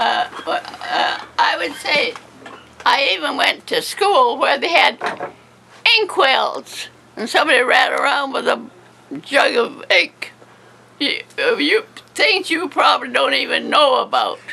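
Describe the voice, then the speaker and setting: A woman talks at a fairly slow pace with long, frequent pauses. Noticeable noise runs in the background. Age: 80s+. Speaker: centenarian interviewee. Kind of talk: casual interview. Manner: halting.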